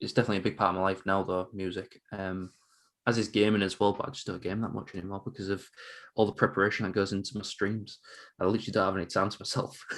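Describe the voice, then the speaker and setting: With an English accent, a man talks at a very fast pace in a monotone, flat manner at a fairly low pitch. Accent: English accent, noted by host. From northern England, Hull, East Yorkshire. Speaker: quiz streamer. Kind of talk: casual chat.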